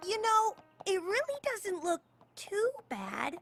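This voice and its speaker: An extremely high-pitched cartoonish character voice at a fairly slow pace, with music in the background. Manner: brash, teasing.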